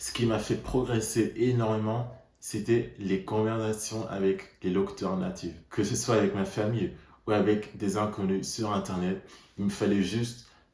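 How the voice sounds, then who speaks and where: Somewhat breathy and fairly low-pitched, a man talks at a fairly slow pace with ordinary pitch variation as room echo is audible. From Netherlands. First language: Dutch (speaking French). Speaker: language learner vlogger. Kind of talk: personal vlog monologue.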